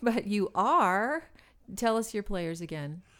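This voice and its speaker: A woman talks in a normal speaking voice at a fairly slow pace. The recording is very clean, with a silent background. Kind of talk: radio DJ patter: polished on-air host handing off to a break with a cheerful sign-off. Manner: upbeat, warm and chatty, with a playful wink as she announces the break.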